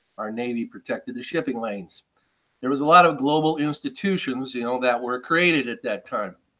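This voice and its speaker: A man talks at a fairly quick pace and medium pitch, with lively intonation. His tone is bright and sharp. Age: 60s. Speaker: agricultural market analyst. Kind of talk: webinar presentation. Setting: online webinar. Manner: halting, many fillers.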